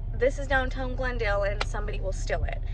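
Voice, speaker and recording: A woman's voice comes through dry, with no echo, over noticeable background noise. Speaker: vlogger. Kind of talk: casual vlog chat. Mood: disappointed, then excited. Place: car. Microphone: phone near.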